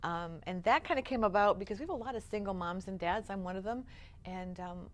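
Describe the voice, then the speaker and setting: At a very fast pace, a woman with a medium pitch speaks in an energetic tone. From Upstate New York. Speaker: nonprofit founder. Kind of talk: interview.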